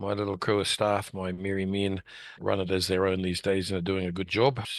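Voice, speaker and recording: Over a quiet background, a man speaks at a fairly quick pace in a New Zealand accent. His pitch is fairly low. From New Zealand, West Auckland. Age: 60s. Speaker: local politician. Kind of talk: interview. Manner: plain-spoken.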